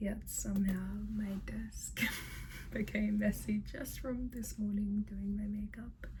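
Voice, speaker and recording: A woman speaks at a very slow pace. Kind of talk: ASMR ramble to camera. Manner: soft-spoken, whispery.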